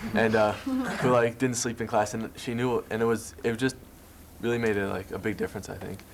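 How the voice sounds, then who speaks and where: Against noticeable background noise, a man with an American accent talks at a fairly quick pace. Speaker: college student, high school alumnus. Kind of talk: panel discussion. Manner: hesitant, many fillers.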